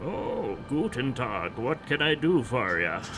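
Amid loud background noise, a man puts on a gruff character voice with a German accent, speaking at a medium pitch and a fairly slow pace. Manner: gruff but well-meaning.

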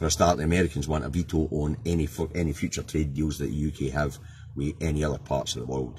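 Light background noise sits behind a man with a Scottish accent who talks very fast in a very deep, low pitch, with vocal fry and fairly even intonation. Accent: Scottish (Angus). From Scotland. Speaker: political vlogger, truck driver; political vlogger. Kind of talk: casual political commentary monologue. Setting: in a truck cab. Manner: informal, hesitant with many fillers. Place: car. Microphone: phone near.

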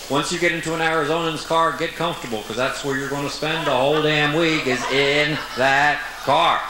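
A man speaks over noticeable background noise. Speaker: comedian. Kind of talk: stand-up comedy monologue. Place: stage. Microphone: handheld.

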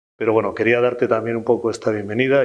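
The man's intonation is monotone and flat. His pitch sits in the medium range. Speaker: company president. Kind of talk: welcome speech.

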